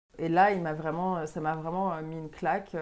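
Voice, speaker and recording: Her tone is dark and mellow, her pitch fairly low, and her intonation monotone and flat. The woman speaks at a moderate pace on a very clean recording with a silent background. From Quebec, Montreal. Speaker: sommelier and restaurant owner. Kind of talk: casual interview.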